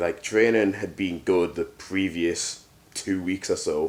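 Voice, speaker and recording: The speaker is a man with an English accent. His voice sits fairly low. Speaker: powerlifter. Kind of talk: casual vlog.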